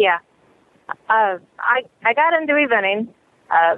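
This woman speaks in a Midwestern US accent. Her pitch is fairly high. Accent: US Midwest. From Illinois. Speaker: horse rider, tornado survivor. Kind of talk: interview testimony.

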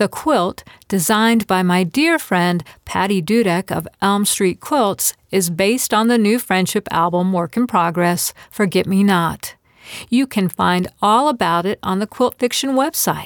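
A woman with a plain, everyday voice, medium pitch, lively intonation, very even loudness and a fairly slow pace, in a dry, close sound with no echo on a very clean recording with a silent background. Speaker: podcast host and quilt fiction writer. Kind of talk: reading aloud a short story and interview.

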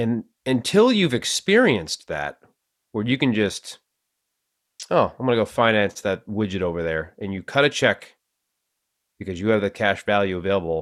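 A Boston accent at a moderate pace, with ordinary pitch variation, long and frequent pauses, and a very clean recording against a silent background. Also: man, fairly low pitch for a man. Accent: Boston, Massachusetts. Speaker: podcast host. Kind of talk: casual conversation about finance.

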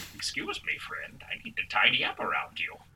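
Whispering in a put-on character voice, a man speaks at a moderate pace.

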